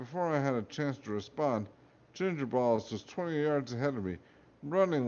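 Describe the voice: Lively intonation carries this plain reading aloud.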